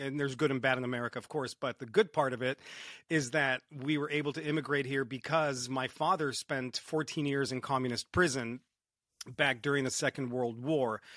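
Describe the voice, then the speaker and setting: Medium in pitch, a man speaks at a fairly quick pace. The sound is dry and close with no echo. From Romania, moved to Southern California at nine. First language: Romanian. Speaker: entrepreneur and motivational speaker. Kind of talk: podcast interview. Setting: remote call across countries. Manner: animated, swears freely.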